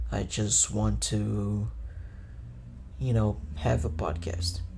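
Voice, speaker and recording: Audible room echo surrounds a man whose very deep, low pitch carries vocal fry. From Brazil. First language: Portuguese. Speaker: podcaster. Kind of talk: casual solo podcast monologue. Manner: casual, profane.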